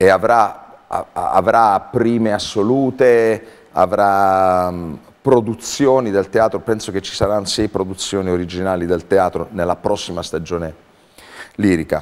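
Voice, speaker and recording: A man with a fairly low pitch talks at a fairly slow pace with ordinary pitch variation. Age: 50s. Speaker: theatre artistic director. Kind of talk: interview. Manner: halting. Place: studio. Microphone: lapel.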